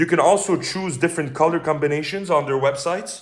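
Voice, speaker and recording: A man with a Quebec accent and ordinary pitch variation. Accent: French Canadian accent in English. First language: French. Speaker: sword reviewer. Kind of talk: product review. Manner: hesitant, many fillers.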